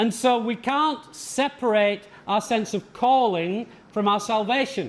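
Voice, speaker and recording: Speaking very slowly in an English accent, a man uses a high pitch with ordinary pitch variation and very even loudness. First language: English (speaking Portuguese). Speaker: visiting pastor teaching a leadership seminar. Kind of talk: sermon-style lecture with consecutive interpretation. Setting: seminar for church leaders. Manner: short phrases paused for interpreter.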